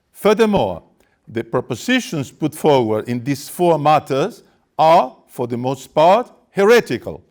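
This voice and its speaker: Very wide pitch swings at a fairly slow pace, on a very clean recording with a silent background. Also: man. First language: Spanish. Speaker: activist speaker. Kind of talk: press conference statement. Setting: press conference. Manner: formal.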